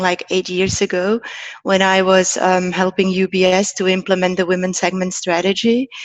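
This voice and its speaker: A woman is speaking. Her pace is fairly quick. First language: Czech and German. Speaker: financial education entrepreneur. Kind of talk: podcast interview.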